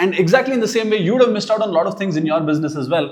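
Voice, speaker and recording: Lively intonation marks a man speaking with an Indian accent amid audible room echo. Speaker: business owner teaching AI tools. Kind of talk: tutorial. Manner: casual, conversational.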